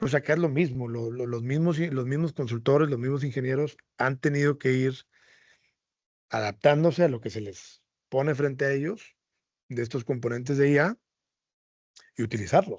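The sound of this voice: The tone is slightly mellow, with ordinary pitch variation. The pace is moderate. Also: man, medium pitch for a man.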